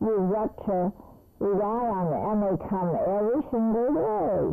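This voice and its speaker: Music in the background accompanies a woman talking at a fairly slow pace. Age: 80s+. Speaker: meal program recipient. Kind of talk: testimony.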